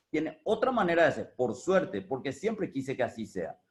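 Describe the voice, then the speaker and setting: Speaking at a moderate pace, a man has a fairly high pitch and an ordinary speaking voice. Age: 60s. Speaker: business owner. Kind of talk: talk on experience. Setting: video call.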